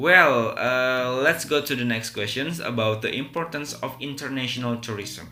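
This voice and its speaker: Music in the background and audible room echo behind a man with an Indonesian accent at a moderate pace. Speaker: English teacher. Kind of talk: tutorial. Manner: hesitant, many fillers.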